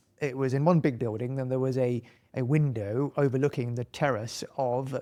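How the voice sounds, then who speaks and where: Against a quiet background, a man speaks in a British accent. His pace is fairly quick. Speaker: accountant and entrepreneur. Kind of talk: casual chat. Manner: conversational with fillers and restarts.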